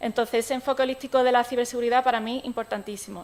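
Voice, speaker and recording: Her pitch is fairly high. This woman talks at a very fast pace. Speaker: technology expert, conference speaker. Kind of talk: conference talk. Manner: hesitant, many fillers.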